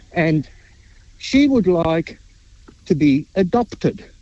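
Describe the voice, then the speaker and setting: A man's high-pitched voice rises and falls with lively intonation against noticeable background noise. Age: 70s. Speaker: caller. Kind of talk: phone-in question. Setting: phone call, outdoors in a park.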